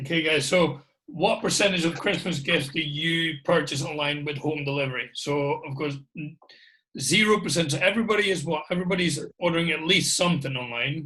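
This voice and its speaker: A man's bright, sharp, fairly high voice in a Scottish accent, fairly quick in pace with ordinary pitch variation. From Scotland. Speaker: guest host. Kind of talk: casual chat.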